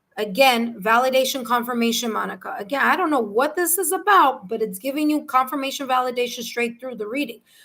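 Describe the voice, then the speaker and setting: A woman with a New York accent talks at a fairly quick pace with lively intonation. Her pitch is high, and the recording is very clean with a silent background. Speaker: tarot reader. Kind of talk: live tarot reading. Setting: livestream.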